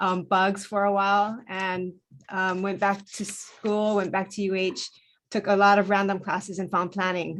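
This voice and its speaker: At a moderate pace, a woman speaks with a Hawaiian accent. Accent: Hawaii English. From Hawaii, Hilo on the Big Island. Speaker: planner. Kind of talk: self-introduction in virtual meeting. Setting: Zoom video call.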